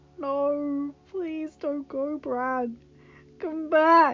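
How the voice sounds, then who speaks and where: A woman does a put-on character voice at a high pitch with fairly even intonation. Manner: pleading.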